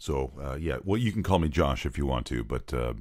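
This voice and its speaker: Speaking with vocal fry, a man with a very deep, low voice uses lively intonation. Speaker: voice-over artist and pastor. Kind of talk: comedy interview. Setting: recording booth.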